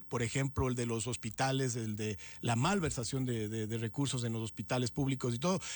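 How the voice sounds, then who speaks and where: With an ordinary speaking voice, a man talks at a fairly quick pace and medium pitch with ordinary pitch variation and hardly any pauses. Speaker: director of a police social security institute, interviewee. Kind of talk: radio interview answer. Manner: indignant, critical.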